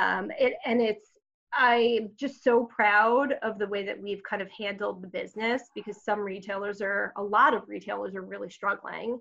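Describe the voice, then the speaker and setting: A woman with an American accent speaks at a medium pitch and a moderate pace, with vocal fry. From Long Island, New York. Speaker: marketing executive. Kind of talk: interview.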